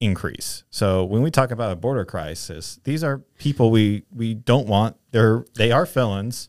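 With a normal speaking voice, a man of fairly low pitch talks at a fairly slow pace and with lively intonation on a very clean recording with a silent background. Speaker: podcast co-host. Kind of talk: casual chat. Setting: video podcast.

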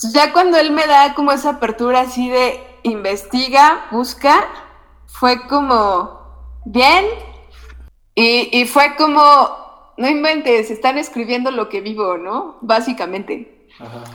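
This woman has a high-pitched voice. She talks at a very slow pace. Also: ordinary pitch variation, big swings in loudness. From Mexico, Temoaya, State of Mexico. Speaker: filmmaker. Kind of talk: interview.

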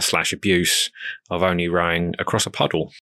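In a southern English accent, a man speaks with a very deep, low pitch and a bright, sharp tone at a moderate pace. The recording is very clean with a silent background, and the sound is dry and close with no echo. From southern England, Crawley in West Sussex. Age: 30s. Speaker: ocean rower. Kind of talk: casual interview.

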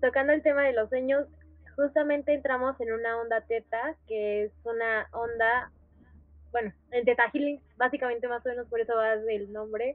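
A woman's high-pitched voice, moderately paced, with fairly even intonation. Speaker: podcast host. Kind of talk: casual chat.

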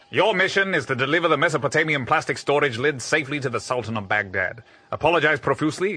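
Over noticeable background noise, a man speaks very fast in a stern tone with lively intonation. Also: hardly any pauses. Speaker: military commander character. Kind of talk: scripted comedic audio drama. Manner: stern, clipped, authoritative.

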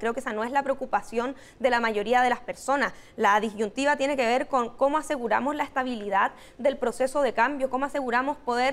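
Fairly quick speech from a woman, high in pitch, with fairly even intonation. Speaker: political campaign strategist. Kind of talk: interview. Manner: hesitant with fillers.

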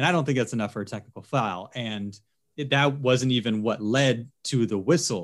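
Delivered at a moderate pace, this is a normal speaking voice with ordinary pitch variation. The recording is very clean, with a silent background. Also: man, medium pitch for a man. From Philadelphia, US Northeast. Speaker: TV sports anchor. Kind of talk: casual interview.

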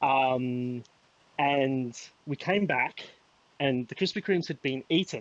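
In a dry, close sound with no echo, a man of medium pitch speaks with an Adelaide accent. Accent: Australian, Adelaide, slight to moderate. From Adelaide, Australia. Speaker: podcast guest. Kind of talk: casual chat.

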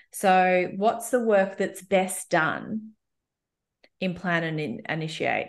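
A woman with an Australian accent speaks at a fairly low pitch. Her pitch variation is ordinary, and the background is quiet. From Melbourne, Australia. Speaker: coach and people and culture expert. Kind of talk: casual interview chat.

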